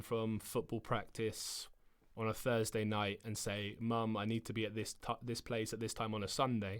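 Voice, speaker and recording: A man with a southern English accent talks at a medium pitch. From south England. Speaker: footballer. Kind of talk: interview answer.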